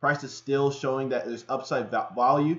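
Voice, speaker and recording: A man's fairly high-pitched voice with fairly even intonation, at a fairly quick pace over a quiet background. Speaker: forex trading analyst. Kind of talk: livestream market analysis. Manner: fast; casual, filler-heavy.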